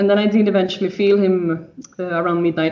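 A woman speaks in a Swedish accent at a medium pitch with monotone, flat intonation. Room echo is audible. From Sweden. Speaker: mother sharing birth story. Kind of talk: interview testimony. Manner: halting.

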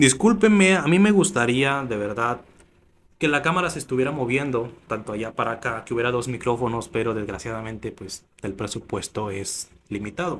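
The speaker uses lively intonation at a moderate pace against light background noise. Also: man. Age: 20s. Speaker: YouTuber starting a podcast. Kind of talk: casual vlog monologue. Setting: home studio set with camera. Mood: sincere, reflective. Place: studio. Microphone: studio mic.

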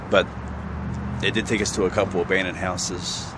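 Loud background noise sits behind a man talking at a moderate pace in a dry sound with no echo. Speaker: exploration vlogger. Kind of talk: casual vlog chat. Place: street. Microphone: phone near.

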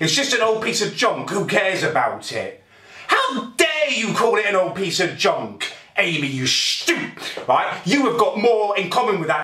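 Audible room echo surrounds a man's raised, projected voice as he speaks at a moderate pace. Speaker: vlogger. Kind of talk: angry comedic rant to camera. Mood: angry, exasperated. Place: kitchen. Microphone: phone near.

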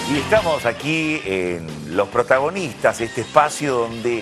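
A man talks at a fairly slow pace. Music plays clearly behind him. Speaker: TV show host. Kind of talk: host introduction to camera. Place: studio. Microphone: lapel.

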